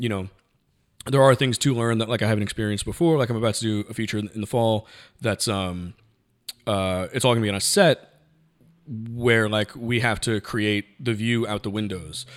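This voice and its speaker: Here is an unremarkable speaking voice at a fairly quick pace. The intonation stays fairly even. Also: man, medium pitch for a man, very clean recording, silent background. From New York, the Bronx. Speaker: cinematographer. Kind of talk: casual chat.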